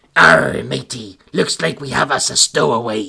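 A man puts on a raspy character voice at medium pitch, talking at a moderate pace. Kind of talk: pirate slang. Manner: stereotypical pirate speech.

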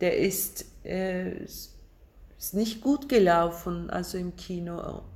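Delivered in a Turkish accent at a very slow pace, the speech shows ordinary pitch variation. The loudness swings a lot. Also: woman, medium pitch for a woman. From Turkey, Istanbul. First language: Turkish (speaking German). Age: 50s. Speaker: film director. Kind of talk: casual interview over lunch. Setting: at a lunch table. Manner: halting.

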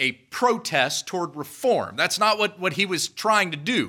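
Speaking with an American accent, a man uses a raised, projected voice with high pitch and a bright, sharp tone. His intonation is lively, his pace moderate, and the recording very clean, with a silent background. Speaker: preacher. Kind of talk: sermon. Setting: church.

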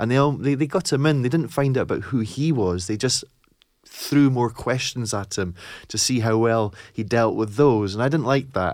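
Speaking at a moderate pace with ordinary pitch variation, a man with an Edinburgh accent comes through on a very clean recording with a silent background. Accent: Scottish (Edinburgh). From Scotland, East Lothian / Edinburgh. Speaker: teacher trainer and author. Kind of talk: casual interview chat.

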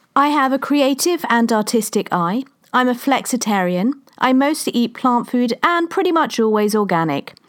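A woman's high-pitched voice in a London accent, with lively intonation, very even loudness and a moderate pace. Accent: southern English (London). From London, England. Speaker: podcast host and women's coach. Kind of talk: scripted monologue.

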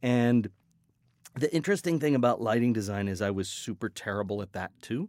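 Lively intonation and a fairly quick pace mark this man's ordinary speaking voice. The sound is dry and close with no echo, on a very clean recording with a silent background. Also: medium pitch for a man. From US West, Colorado and Hawaii. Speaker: sound design professor. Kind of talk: interview. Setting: studio.

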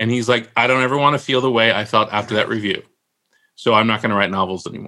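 A man with a Californian accent talks at medium pitch in a bright, sharp tone with fairly even intonation. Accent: General American (Californian). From US West Coast (San Francisco Bay Area). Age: 50s. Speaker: novelist. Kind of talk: casual chat.

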